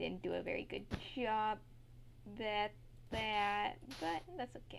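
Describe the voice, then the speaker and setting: This woman is soft-spoken. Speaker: gaming tutorial creator. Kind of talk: tutorial.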